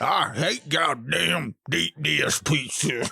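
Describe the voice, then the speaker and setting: Very slowly, a man drawls out a raspy put-on character voice in a Southern US accent. His pitch stays medium. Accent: Southern American. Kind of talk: comic impression.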